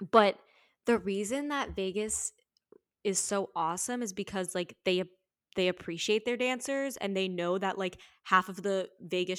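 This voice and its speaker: A plain, everyday voice from a woman at medium pitch, moderate pace and ordinary pitch variation, with a dry, close sound, no echo, and a very clean recording with a silent background. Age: 20s. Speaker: actor, writer and sex worker. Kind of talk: casual interview chat.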